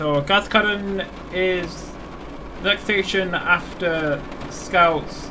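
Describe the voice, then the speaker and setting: Over noticeable background noise, a man talks very slowly with long, frequent pauses. His voice is high-pitched and his intonation fairly even. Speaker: gaming video creator. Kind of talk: gameplay commentary. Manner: stuttering; casual, thinking aloud.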